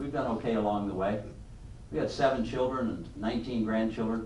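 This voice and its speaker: Amid noticeable background noise and audible room echo, a man at medium pitch speaks at a very fast pace. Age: 70s. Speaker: business leader and speaker. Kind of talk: leadership talk to a class. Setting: room with live audience.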